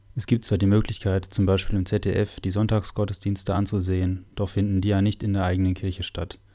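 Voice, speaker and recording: Over a very clean recording with a silent background, a man talks at a fairly quick pace in a fairly low, dark, mellow tone that is somewhat breathy and monotone, with flat intonation. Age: 20s. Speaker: parish podcast host and altar server. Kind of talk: semi-scripted parish podcast conversation. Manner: formal.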